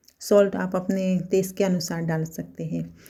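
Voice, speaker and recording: Somewhat breathy and dark, mellow in tone, the voice holds a monotone, flat intonation on a very clean recording with a silent background. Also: woman. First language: Gujarati (speaking Hindi). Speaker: cooking vlogger. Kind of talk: cooking tutorial. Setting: home kitchen. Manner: halting.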